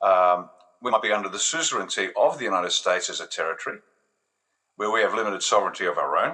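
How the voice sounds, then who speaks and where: A man talking very fast with an Australian accent. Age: 60s. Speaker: retired army officer, political commentator. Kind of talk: interview answer, political commentary. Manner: animated.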